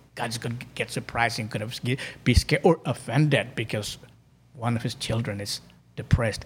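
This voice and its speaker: Somewhat breathy, a man speaks at a medium pitch with fairly even intonation and big swings in loudness. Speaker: life coach. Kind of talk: casual interview. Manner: slow, calm, deliberate.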